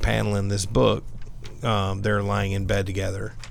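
An unremarkable speaking voice with an American accent moves at a fairly slow pace, its pitch varying in an ordinary way. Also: man. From US South. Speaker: comic book podcast panelist. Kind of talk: casual chat.

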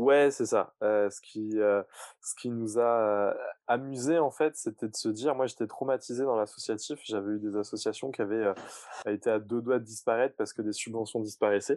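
In a quiet background with a dry, close sound and no echo, a man uses an ordinary speaking voice at a medium pitch, a moderate pace and fairly even intonation. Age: 30s. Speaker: climate startup co-founder. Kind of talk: casual interview.

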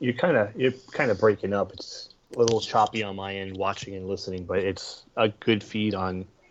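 An ordinary speaking voice from a man, fairly low in pitch, with fairly even intonation and a moderate pace. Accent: American. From northern New Jersey, Bergen County. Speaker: podcast co-host. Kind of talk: casual chat.

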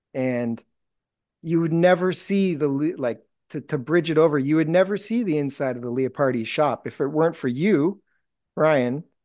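Against a quiet background, a man with an Ontario accent speaks at a moderate pace in a fairly high pitch, with a dark, mellow tone and ordinary pitch variation. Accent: Canadian (Ontario). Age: 40s. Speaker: fishing lure maker. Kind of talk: casual interview. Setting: video call.

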